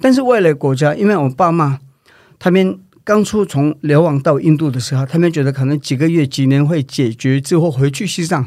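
With a Tibetan accent, a man talks at a fairly quick pace in a fairly high pitch, his intonation lively. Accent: Tibetan accent in Mandarin. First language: Tibetan (speaking Chinese). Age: 40s. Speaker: Tibetan independence activist. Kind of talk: interview. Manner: halting.

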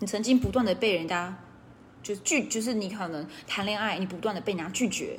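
This woman's voice is medium in pitch and somewhat breathy. She talks at a fairly quick pace. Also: ordinary pitch variation. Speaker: direct-selling business coach. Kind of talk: casual livestream talk; sales pitch. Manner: relaxed.

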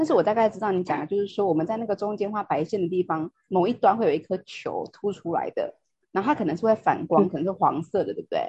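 A woman's very fast, somewhat breathy speech at a medium pitch, with lively intonation and hardly any pauses. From Taiwan. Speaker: podcast host. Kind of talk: casual chat.

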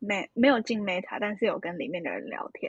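Against a quiet background, a woman with a medium pitch talks at a moderate pace. Her somewhat breathy voice has a dry, close sound with no echo. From Taiwan, Hsinchu. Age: 20s. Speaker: university student. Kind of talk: casual interview about travel.

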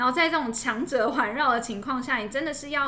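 Lively, fairly quick female speech amid noticeable background noise and audible room echo. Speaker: podcast co-host. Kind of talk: casual chat.

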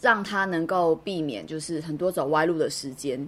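There is ordinary pitch variation as a woman speaks in a Taiwanese accent. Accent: Taiwanese Mandarin. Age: 30s. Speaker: fortune teller and podcast co-host. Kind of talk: casual chat.

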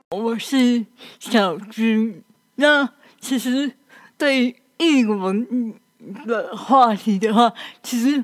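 Very slow, fairly even delivery from a woman with a fairly high pitch. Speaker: assistant radio host. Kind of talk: casual chat.

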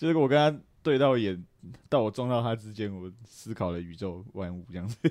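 A man with a plain, everyday voice speaks at a fairly quick pace and a fairly low pitch. His intonation is lively, and his loudness swings widely. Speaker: podcast co-host. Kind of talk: casual chat.

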